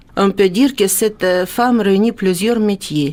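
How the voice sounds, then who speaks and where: A woman speaks with a slight Ukrainian accent and ordinary pitch variation. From Ukraine. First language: Ukrainian (speaking French). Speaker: former dentist, radio guest presenter. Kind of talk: radio interview. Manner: hesitant.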